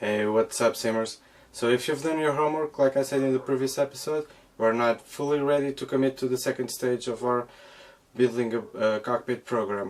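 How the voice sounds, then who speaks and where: A man's fairly quick, medium-pitched speech in a non-native accent, with fairly even intonation. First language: not English. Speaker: DIY flight sim cockpit builder. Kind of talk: casual tutorial intro. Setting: workshop. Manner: halting, repeats words.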